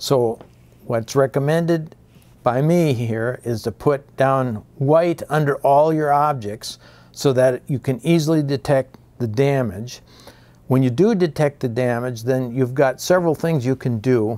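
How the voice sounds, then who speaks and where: At a fairly slow pace, a man talks in a dark, mellow tone with ordinary pitch variation. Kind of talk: tutorial. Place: hall. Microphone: lapel.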